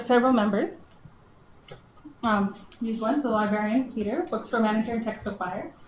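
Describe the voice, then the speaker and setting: Mumbling at a fairly quick pace, a woman with a fairly high pitch is heard against audible room echo. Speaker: librarian. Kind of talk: conference presentation.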